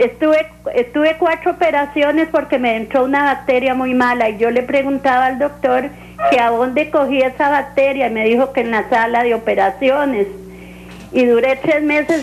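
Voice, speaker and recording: A woman's high-pitched voice at very even loudness, with noticeable background noise. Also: ordinary pitch variation, moderate pace. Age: 70s. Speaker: caller. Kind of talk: call-in question.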